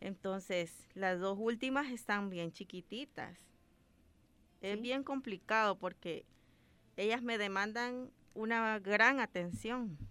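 At a very slow pace with long, frequent pauses, a woman speaks in a bright, sharp tone at a fairly high pitch with ordinary pitch variation. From El Salvador, Ahuachapán. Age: 30s. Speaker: doctor. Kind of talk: radio interview.

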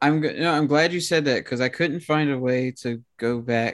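A plain, everyday voice from a man, with ordinary pitch variation, moderate pace, and a very clean recording over a silent background. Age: 20s. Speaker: horn player and music performance student. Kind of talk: casual chat.

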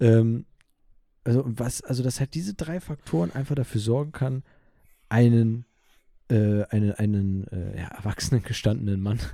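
A man speaks at a moderate pace in a medium pitch, his dark, mellow tone carrying ordinary pitch variation and broken by long, frequent pauses. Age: 20s. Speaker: podcast host. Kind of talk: casual chat. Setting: video call.

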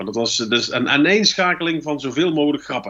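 Bright and sharp in tone, a man's voice keeps a moderate pace. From North Brabant, Netherlands. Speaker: stand-up comedian and columnist. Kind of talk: casual chat.

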